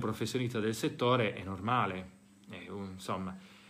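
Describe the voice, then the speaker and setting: In a normal speaking voice, a man goes along at a fairly quick pace, pitch shifting in an ordinary way. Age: 40s. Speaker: psychologist and podcast host. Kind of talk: talk to parents (recorded live session). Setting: school (recorded live session).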